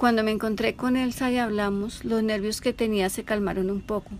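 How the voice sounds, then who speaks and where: A woman's fairly high, fairly even voice at a moderate pace, an ordinary speaking voice. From Colombia, Bogotá. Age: 60s. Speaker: eyewitness. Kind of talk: testimony.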